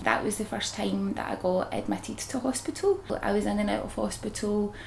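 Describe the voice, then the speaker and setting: A woman speaks with a Glaswegian accent at a moderate pace. Light background noise is present. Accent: Glaswegian Scottish. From Scotland. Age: 30s. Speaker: psoriasis patient. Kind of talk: testimony. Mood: relaxed, candid, confident. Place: home room.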